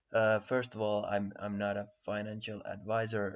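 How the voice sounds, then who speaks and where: With a Finnish accent, a man speaks at a fairly slow pace. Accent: Finnish accent, self-described poor English. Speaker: crypto trading analyst. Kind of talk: tutorial. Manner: halting, many fillers and repetitions.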